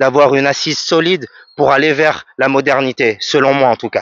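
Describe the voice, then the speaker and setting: An unremarkable speaking voice moves at a moderate pace, with dry, close sound and no echo. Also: man. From French Guiana. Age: 30s. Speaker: music producer and vocalist. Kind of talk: radio interview answer.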